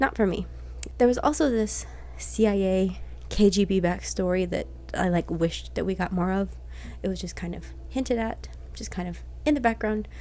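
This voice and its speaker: Soft-spoken delivery broken by long, frequent pauses. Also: woman, moderate pace. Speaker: book reviewer. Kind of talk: casual book review vlog.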